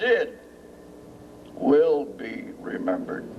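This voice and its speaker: Amid audible room echo and noticeable background noise, a man speaks with lively intonation. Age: 80s+. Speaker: war veteran, retired military pilot, ceremony speaker. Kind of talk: public speech at memorial dedication. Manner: halting, many fillers.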